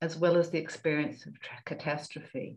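The background is quiet. A woman speaks with a fairly low pitch. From New Zealand. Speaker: climate psychology presenter; panel respondent. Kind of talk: prepared reflection. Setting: video call. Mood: calm, reflective. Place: home room. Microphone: video call.

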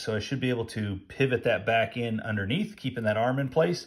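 A man speaks with ordinary pitch variation. The background is quiet. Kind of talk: tutorial. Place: workshop. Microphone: phone near.

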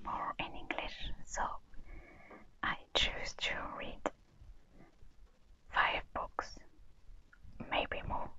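The speaker whispers at a very slow pace. Long, frequent pauses break up the words. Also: woman. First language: French. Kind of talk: ASMR show and tell. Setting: low-quality lapel mic recording. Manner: whispered.

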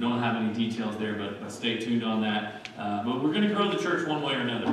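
A man is heard with strong room echo and noticeable background noise. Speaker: pastor. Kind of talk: church announcements. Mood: warm, light-hearted. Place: church. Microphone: podium.

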